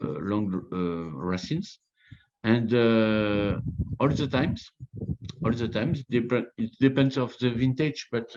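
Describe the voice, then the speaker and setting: Speaking very slowly with a French accent, a man uses lively intonation at a medium pitch. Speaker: winemaker. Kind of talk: interview. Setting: video call. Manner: halting.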